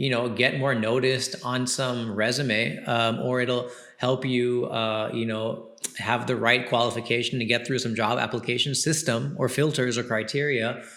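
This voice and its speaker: A man with an American accent speaks at a moderate pace and medium pitch, with audible room echo and noticeable background noise. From United States. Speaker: podcast host and comedian. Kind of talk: casual advice monologue. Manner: casual, animated.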